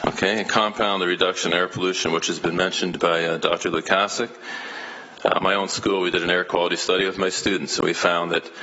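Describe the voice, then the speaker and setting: A man's very deep, low voice, very fast and flat in a monotone, with very even loudness and noticeable background noise. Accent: Canadian. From Canada, Hamilton, Ontario. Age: 60s. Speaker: elementary school teacher, public delegate. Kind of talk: public delegation speech at council meeting. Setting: city council meeting. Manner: hesitant, many fillers and repetitions.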